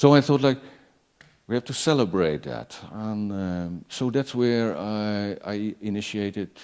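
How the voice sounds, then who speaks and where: In a very clean recording with a silent background, a man with a Dutch accent speaks at a fairly slow pace, his fairly low pitch showing ordinary variation. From Netherlands. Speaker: performance artist and curator. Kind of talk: panel talk. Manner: halting, many repetitions.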